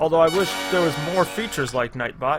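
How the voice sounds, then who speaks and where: In an American accent, a man speaks in a raised, projected voice with a bright, sharp tone. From USA. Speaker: gaming streamer. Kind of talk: live stream gameplay commentary. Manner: animated.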